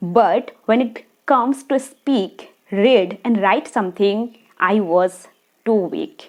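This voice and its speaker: A woman's lively intonation with a Bengali accent. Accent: Indian (Bengali). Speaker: video blogger. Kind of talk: personal story to camera.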